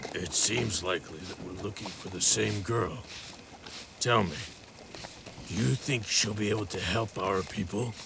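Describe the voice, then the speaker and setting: A man's put-on character voice, fairly low-pitched at a moderate pace with long, frequent pauses, over clear background noise. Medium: audio drama. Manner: measured, serious.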